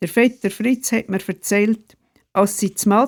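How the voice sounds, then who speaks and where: A woman with an ordinary speaking voice and medium pitch speaks at a fairly slow pace in a dry, close sound with no echo. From Switzerland, canton Glarus (Sernftal). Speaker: retired pastor and storyteller. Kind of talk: reading aloud of memoir stories.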